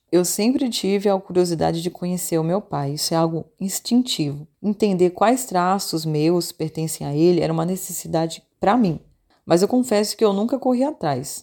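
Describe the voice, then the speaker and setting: Speaking at a moderate pace with hardly any pauses, a woman uses lively intonation and a fairly low pitch with a dark, mellow tone. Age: 30s. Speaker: voice-over announcer. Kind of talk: scripted personal commentary. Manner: fluent.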